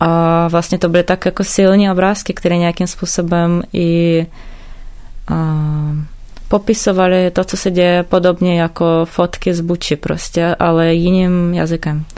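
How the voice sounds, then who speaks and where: Speaking fairly slowly, a woman has a fairly low pitch, a dark, mellow tone and monotone, flat intonation. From Ukraine, Odesa. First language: Ukrainian or Russian (speaking Czech). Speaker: visual artist. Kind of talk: interview.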